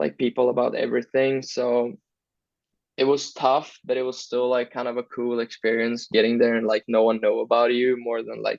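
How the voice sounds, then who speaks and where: Moderately paced speech in a Swedish accent with monotone, flat intonation. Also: man. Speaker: hockey player. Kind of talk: interview. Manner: casual, hesitant.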